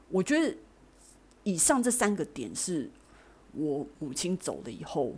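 Vocal fry at a fairly slow pace, with very wide pitch swings and long, frequent pauses, in a very clean recording with a silent background. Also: woman, fairly low pitch for a woman. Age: 40s. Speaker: podcast host. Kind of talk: personal monologue.

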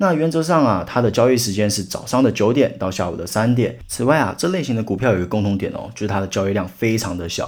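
A man talks at a very fast pace in a medium pitch, his intonation lively. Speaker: podcast host teaching stock investing basics. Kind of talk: solo educational podcast. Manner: casual, chatty with many filler particles.

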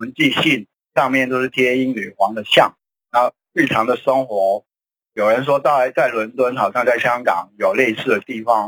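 A man with an ordinary speaking voice talks at a medium pitch and moderate pace with ordinary pitch variation. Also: dry, close sound with no echo. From Hong Kong. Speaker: political commentator. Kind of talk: radio talk show discussion.

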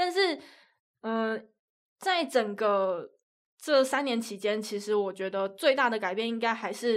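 A woman speaks fairly slowly in a fairly high voice with lively intonation. The recording is very clean, with a silent background. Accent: Taiwanese. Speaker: sports commentator. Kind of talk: casual chat.

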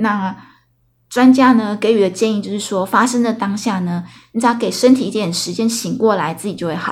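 Somewhat breathy, this woman's voice sits at a medium pitch, moving at a moderate pace with ordinary pitch variation. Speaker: podcast host. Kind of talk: casual solo storytelling monologue. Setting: solo recording late at night. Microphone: new recording equipment.

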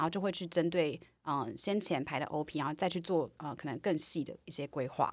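This woman has a very deep, low pitch and ordinary pitch variation. She speaks at a fairly quick pace with a Taiwanese accent. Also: very clean recording, silent background. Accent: Taiwanese Mandarin. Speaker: product manager. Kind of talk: casual interview chat.

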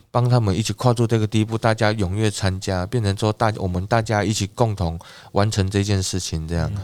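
On a very clean recording with a silent background, a man with an ordinary speaking voice talks at a fairly quick pace, his fairly low pitch held in fairly even intonation. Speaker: village chief. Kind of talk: casual interview.

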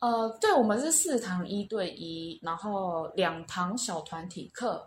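A somewhat breathy woman at a very slow pace. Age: 30s. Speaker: language school student. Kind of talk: casual interview. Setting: on-site at school in Cebu.

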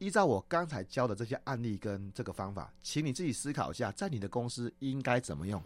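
A man talks at a fairly quick pace with hardly any pauses. His voice sits at a medium pitch and makes very wide pitch swings. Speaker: corporate trainer and presentation coach. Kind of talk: radio interview.

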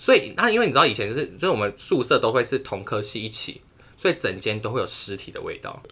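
Loudness rises and falls sharply while the words rush out at a very fast pace. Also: man. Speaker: podcast co-host, university student. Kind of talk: casual chat. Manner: animated.

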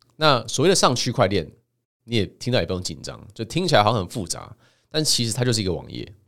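A man with vocal fry talks at a fairly quick pace, his medium pitch making very wide swings. The recording is very clean, with a silent background. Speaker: podcast host and author. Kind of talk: solo monologue.

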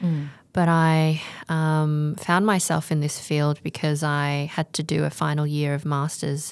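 On a very clean recording with a silent background, a woman with an Australian accent speaks at a fairly slow pace in a very deep, low pitch, with monotone, flat intonation and very even loudness. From Australia, Melbourne. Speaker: English curriculum developer and teacher. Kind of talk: interview.

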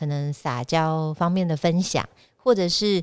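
Her pitch varying in an ordinary way, a woman is speaking. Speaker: podcast host. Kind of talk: casual chat. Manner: animated.

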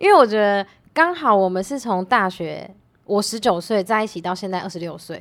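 Speaking in a plain, everyday voice, a woman keeps a medium pitch and a fairly quick pace. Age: 20s. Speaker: tutor and YouTuber. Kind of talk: casual chat.

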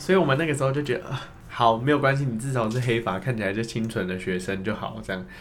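A man's medium-pitched, very fast speech with ordinary pitch variation, amid audible room echo and noticeable background noise. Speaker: former student drama group leader. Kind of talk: casual chat.

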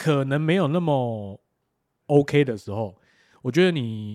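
The man talks at a moderate pace and a medium pitch, his intonation lively, over a silent background on a very clean recording. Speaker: podcast co-host. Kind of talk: casual chat.

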